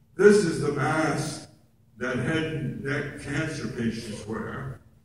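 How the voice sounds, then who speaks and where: A man's warm tone at a very slow pace over noticeable background noise. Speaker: oral cancer survivor and actor, guest speaker. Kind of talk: personal testimony speech to an audience. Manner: warm, self-deprecating humor.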